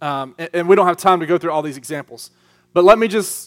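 On a very clean recording with a silent background, a man with a Southern US accent speaks at a fairly high pitch with ordinary pitch variation. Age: 30s. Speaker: youth pastor. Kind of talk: sermon. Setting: church youth group with live audience. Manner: animated.

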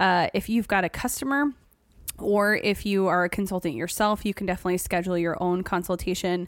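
A woman talks in a normal speaking voice at a fairly quick pace with ordinary pitch variation. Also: medium pitch for a woman. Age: 30s. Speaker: podcast host. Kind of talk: casual chat.

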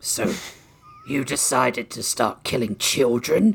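Growling in a put-on character voice, a man talks at a fairly slow pace and medium pitch. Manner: growling, stern.

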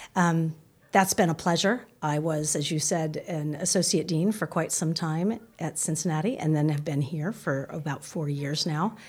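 A woman with a very deep, low, somewhat breathy voice and an American accent, ordinary pitch variation and hardly any pauses. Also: moderate pace. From US (Boston, Palo Alto). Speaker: business school dean and professor. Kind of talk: interview.

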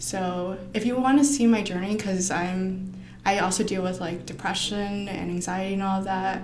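Amid audible room echo and noticeable background noise, a woman with an American accent talks at a moderate pace and medium pitch with ordinary pitch variation. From Arizona, US (Phoenix/Tempe). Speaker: painter. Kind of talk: casual chat.

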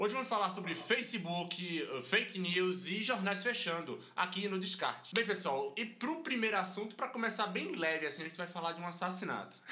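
A man with a high pitch talks in a raised, projected voice at a fairly quick pace with hardly any pauses. Noticeable background noise sits behind him. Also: ordinary pitch variation. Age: 20s. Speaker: podcast host. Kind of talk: casual chat.

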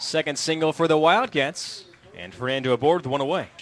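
Noticeable background noise is present throughout. A man delivers his words at a moderate pace. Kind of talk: live baseball play-by-play commentary. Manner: fluent and rhythmic, calling each pitch and hit as it happens.

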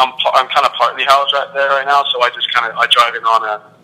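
Over noticeable background noise, a man with an English accent talks at a fairly quick pace. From England; Milton Keynes, England. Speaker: college soccer player.

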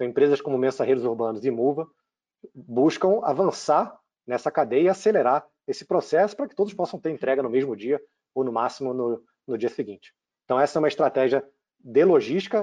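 Over a quiet background, the voice has a dark, mellow tone, lively intonation and a fairly quick pace. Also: man, fairly high pitch for a man. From Brazil, Rio de Janeiro. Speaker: tech company CEO. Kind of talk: interview.

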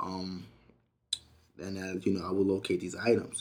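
Here a man talks at a fairly quick pace in a fairly low pitch. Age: 20s. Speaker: college student. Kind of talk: interview testimony. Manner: halting, many fillers.

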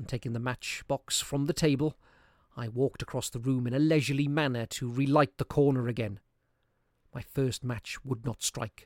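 A man's medium-pitched voice, a plain, everyday voice, at a moderate pace with ordinary pitch variation, dry and close with no echo, on a very clean recording with a silent background. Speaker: narrator reading a classic story aloud. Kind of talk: ghost story telling, dramatic reading aloud of a Victorian horror tale. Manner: suspenseful, building dread as candles go out one by one; voices characters' lines, e.g. rising panic in quoted cries.

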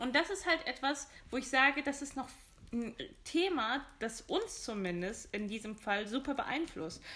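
A raised, projected voice with a bright, sharp tone moves at a fairly slow pace through very wide pitch swings. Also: woman, high pitch for a woman. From Germany. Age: 20s. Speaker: podcast co-host. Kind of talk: casual chat.

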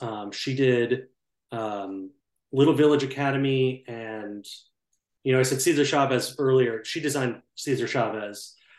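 An unremarkable speaking voice with an American accent moves at a moderate pace. Its intonation is fairly even. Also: man. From US Upper Midwest, St. Paul, Minnesota. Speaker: brick historian and tour guide. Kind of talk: casual interview.

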